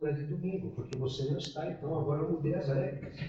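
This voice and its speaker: There is audible room echo around a man speaking in a fairly high pitch. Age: 60s. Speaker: pastor. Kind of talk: sermon. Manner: conversational.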